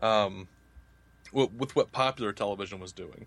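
A man with an American accent speaks at a medium pitch. His tone is bright and sharp, with ordinary pitch variation. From US South. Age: 30s. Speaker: podcaster. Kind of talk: casual chat.

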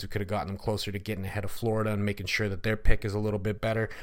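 Delivered at a very fast pace in an animated, energetic tone, the speech comes through a very clean recording with a silent background. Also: man. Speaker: podcast host, hockey commentator. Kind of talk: recap of a hockey game, play-by-play style retelling of shootout moments; podcast hockey recap and analysis, casual. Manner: animated, building-up storytelling with energetic, punchy delivery.

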